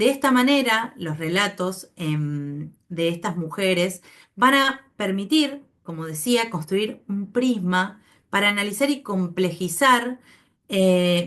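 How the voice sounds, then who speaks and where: Over a quiet background, a woman with a medium pitch speaks very slowly, her intonation lively. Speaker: anthropology researcher. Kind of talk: academic seminar talk. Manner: hesitant, many fillers.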